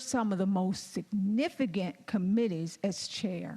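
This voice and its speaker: Speaking very slowly, a woman uses lively intonation and a dark, mellow, somewhat breathy tone. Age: 60s. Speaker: state legislator. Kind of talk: floor speech. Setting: legislative chamber.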